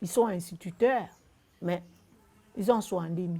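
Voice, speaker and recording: Set against a silent background in a very clean recording, a woman speaks at medium pitch in a dark, mellow tone, her pitch varying an ordinary amount. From Gabon. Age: 60s. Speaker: retired civil servant. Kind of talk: testimony. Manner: halting.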